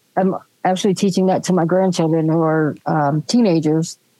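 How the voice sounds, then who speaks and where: With an American accent, a woman speaks at a moderate pace in a fairly low pitch, her tone dark and mellow and her intonation fairly even. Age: 60s. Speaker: podcast co-host. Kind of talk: casual chat.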